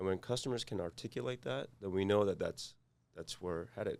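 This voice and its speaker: Speaking with a Korean accent, a man holds a moderate pace, his fairly low pitch carried in fairly even intonation. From South Korea. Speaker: cybersecurity executive. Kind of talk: interview. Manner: halting, many fillers.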